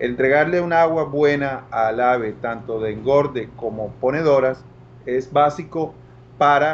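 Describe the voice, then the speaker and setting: There is light background noise. A man talks with fairly even intonation. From Colombia, Barranquilla (Caribbean coast); Colombia. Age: 50s. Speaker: agricultural products salesman. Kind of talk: online talk / product presentation. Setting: live stream. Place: office. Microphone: video call.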